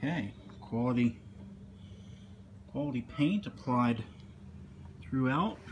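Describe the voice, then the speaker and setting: A man with a medium pitch and a somewhat breathy voice talks at a fairly slow pace, leaving long, frequent pauses. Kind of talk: product unboxing talk to camera. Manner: casual.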